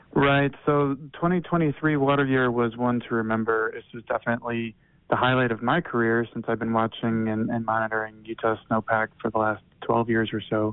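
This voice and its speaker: Speaking at a moderate pace, a man has an ordinary speaking voice and fairly even intonation. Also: medium pitch for a man, hardly any pauses. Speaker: snow survey hydrologist. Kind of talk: informative interview.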